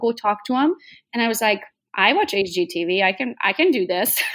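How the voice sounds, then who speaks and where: Speaking with a Hungarian accent, a woman has a fairly high pitch. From Transylvania, Romania (Hungarian). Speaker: real estate agent. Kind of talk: podcast interview.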